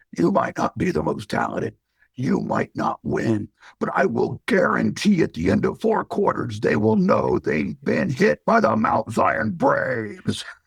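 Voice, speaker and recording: A man puts on a raspy character voice. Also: moderate pace. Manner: rousing, motivational.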